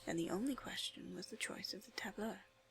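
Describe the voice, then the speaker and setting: Soft-spoken and soothing, the voice has a calm tone and moves at a moderate pace. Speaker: ASMR video creator and literature student. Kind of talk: soft whispered audiobook-style reading for ASMR and relaxation. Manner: soft-spoken, soothing, calm.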